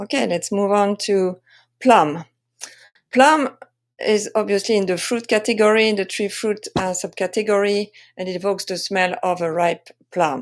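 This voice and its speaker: The recording is very clean, with a silent background. A woman talks at a medium pitch with ordinary pitch variation. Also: moderate pace. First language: French. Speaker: wine sensory expert and tasting coach. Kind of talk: presentation tutorial. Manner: hesitant, many fillers.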